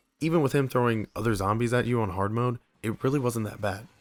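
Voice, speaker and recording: A man talks at a very fast pace in a medium pitch with ordinary pitch variation. The sound is dry and close, with no echo. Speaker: video game reviewer. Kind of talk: game review narration. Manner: casual.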